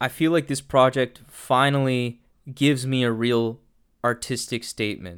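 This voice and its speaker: A man with a normal speaking voice talks at a moderate pace and medium pitch, keeping his intonation fairly even. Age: 20s. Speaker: music and politics podcast host. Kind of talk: solo podcast monologue with album reviews. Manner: casual, with frequent fillers and repetitions.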